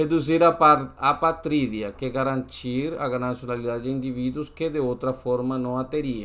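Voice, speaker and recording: A man with a Spanish accent, at a fairly slow pace, with fairly even intonation. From Colombia. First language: Spanish (speaking Portuguese). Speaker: exam-prep tutor. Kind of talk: tutorial. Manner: halting, with frequent self-corrections.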